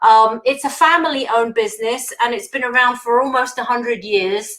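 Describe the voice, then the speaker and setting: This woman has a British accent and a high pitch. She speaks at a moderate pace with fairly even intonation. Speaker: engineer, industry manager. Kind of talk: conference talk. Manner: hesitant, many fillers.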